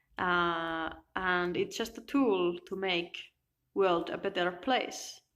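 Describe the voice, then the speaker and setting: On a very clean recording with a silent background, a woman with a Finnish accent speaks at a very slow pace at a medium pitch with ordinary pitch variation. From Finland. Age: 20s. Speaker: self-help vlogger. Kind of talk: personal video monologue. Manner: halting.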